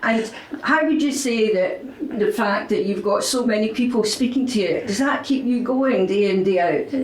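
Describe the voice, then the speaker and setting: Noticeable background noise sits behind this woman's voice. She pitches fairly high and uses lively intonation. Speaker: newspaper reporter. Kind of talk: interviewer questions.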